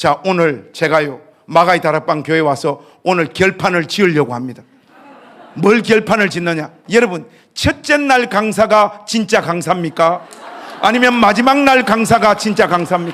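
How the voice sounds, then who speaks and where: Over noticeable background noise, a man with a high voice speaks at a moderate pace in an animated tone with lively intonation. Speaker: pastor, guest revival speaker. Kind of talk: sermon. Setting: church revival meeting with congregation.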